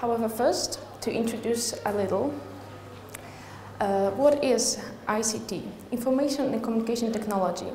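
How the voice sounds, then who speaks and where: Amid noticeable background noise and audible room echo, a woman with a fairly high pitch and a Polish accent leaves long, frequent pauses. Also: ordinary pitch variation, moderate pace. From Poland. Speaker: university researcher. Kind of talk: conference presentation. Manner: halting.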